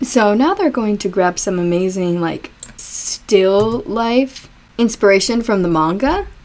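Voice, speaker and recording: A woman's medium-pitched voice, lively in intonation, comes at a fairly slow pace through noticeable background noise. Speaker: anime review YouTuber. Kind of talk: reaction video commentary. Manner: animated; chatty, rambling.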